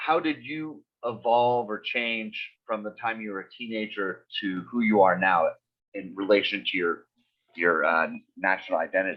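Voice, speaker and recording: With an American accent, a man speaks in a plain, everyday voice at a fairly low pitch, with ordinary pitch variation and big swings in loudness. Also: moderate pace. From United States. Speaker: podcast host. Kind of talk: podcast interview.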